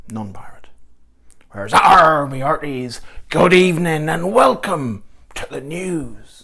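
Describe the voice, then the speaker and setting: Putting on a raspy character voice, a man speaks at a fairly slow pace and a fairly high pitch, with long, frequent pauses. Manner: manic, passionate.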